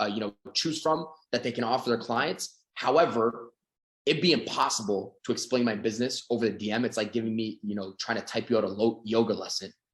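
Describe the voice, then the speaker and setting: A man speaks with a Canadian accent at a fairly quick pace. His pitch is medium, with ordinary variation. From Canada. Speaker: sales coach. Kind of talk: sales training seminar. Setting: video call. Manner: fast; animated.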